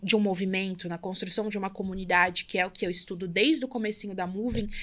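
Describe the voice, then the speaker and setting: Over a silent background in a very clean recording, a woman talks at a fairly quick pace. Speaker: entrepreneur, brand and community builder. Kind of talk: podcast interview. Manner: fast.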